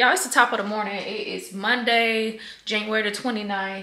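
The speaker is a woman. Her voice carries an audible room echo. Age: 30s. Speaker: cosmetologist. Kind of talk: casual vlog talk to camera. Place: kitchen.

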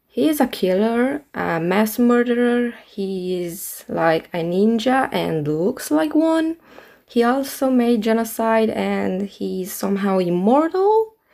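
A woman's fairly high voice with very wide pitch swings at a very slow pace. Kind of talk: speedpaint commentary.

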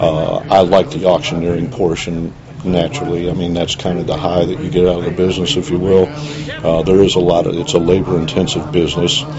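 Over noticeable background noise, a man with an American accent and a very deep, low pitch talks at a fairly quick pace with lively intonation and hardly any pauses. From Ohio. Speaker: auctioneer. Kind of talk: interview answer.

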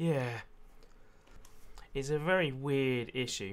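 Quiet and fairly high-pitched, a man talks with ordinary pitch variation. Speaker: gaming youtuber. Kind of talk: casual let's play commentary.

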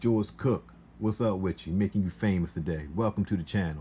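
With lively intonation and a moderate pace, a man speaks in a dark, mellow, somewhat breathy tone at a fairly low pitch, over light background noise. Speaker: small fragrance seller. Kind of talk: casual vlog chat. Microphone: phone near.

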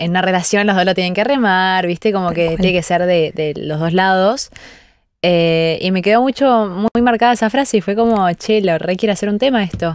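A woman with a Rioplatense accent speaks at a moderate pace with ordinary pitch variation, in a dry recording with no echo and a quiet background. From Argentina. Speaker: singer; guest. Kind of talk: radio interview. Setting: radio studio. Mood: relaxed, thoughtful. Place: studio. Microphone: studio mic.

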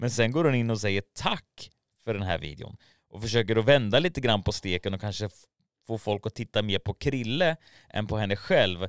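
A man speaks with lively intonation at a fairly low pitch. The background is quiet. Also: dry sound with no echo. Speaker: YouTube commentary creator. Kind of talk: casual commentary video. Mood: mocking, incredulous. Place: studio. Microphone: studio mic.

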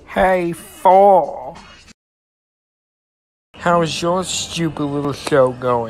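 A cartoonish character voice at a middle pitch moves at a very slow pace, broken by long, frequent pauses. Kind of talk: comic cartoon voice acting. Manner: sneering, then startled.

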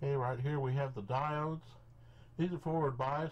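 A man speaks in a somewhat breathy voice. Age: 50s. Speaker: electronics hobbyist. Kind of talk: tutorial. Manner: halting. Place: workshop.

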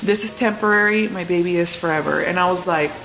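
Fairly quick and with fairly even intonation, a woman speaks over light background noise. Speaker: vlogger. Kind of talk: casual vlog chat. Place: kitchen. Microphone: phone near.

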